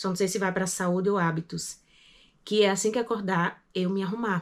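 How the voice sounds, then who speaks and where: A woman speaks at medium pitch in a very clean recording with a silent background. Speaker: vlogger. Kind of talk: casual vlog monologue. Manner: fast.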